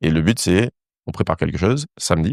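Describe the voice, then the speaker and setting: This man talks at a very fast pace with a very deep, low pitch, an animated tone and lively intonation. The sound is dry and close with no echo over a quiet background. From Saint-Martin (Caribbean). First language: English (speaking French). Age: 30s. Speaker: dancer and former physicist. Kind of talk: interview conversation. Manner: animated storytelling.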